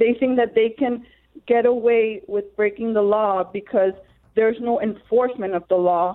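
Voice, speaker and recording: Using a normal speaking voice, a woman with an American accent speaks at a moderate pace, her pitch fairly high and her intonation fairly even. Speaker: caller, political candidate. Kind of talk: call-in comment. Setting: phone call.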